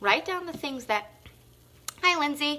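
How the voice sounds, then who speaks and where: A woman projects a raised voice with a bright, sharp, animated tone, high in pitch and swinging very widely up and down. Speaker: fitness and self-help vlogger. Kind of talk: motivational live stream talk. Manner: loud.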